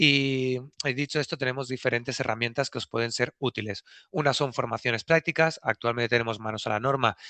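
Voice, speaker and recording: Bright and sharp in tone, a man speaks at a fairly quick pace with fairly even intonation in a dry, close sound with no echo. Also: medium pitch for a man, quiet background. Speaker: packaging regulation consultant. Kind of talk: webinar presentation. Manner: fast.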